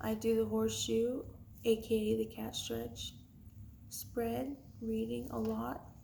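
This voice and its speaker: A woman talks in a calm tone, very slowly, with long and frequent pauses. Room echo is audible. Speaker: tarot card reader. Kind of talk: tarot reading vlog.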